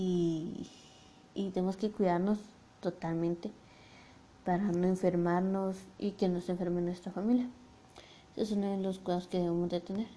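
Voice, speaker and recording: This woman has a dark, mellow tone at medium pitch. She talks at a moderate pace in monotone, flat intonation, with long, frequent pauses. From Guatemala. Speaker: podcast host. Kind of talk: motivational monologue. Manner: halting.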